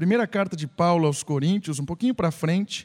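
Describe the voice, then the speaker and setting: A man's high-pitched voice, with ordinary pitch variation, comes through a very clean recording with a silent background. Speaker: pastor. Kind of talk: sermon. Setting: church. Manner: conversational, teacherly preaching; animated, exhortative.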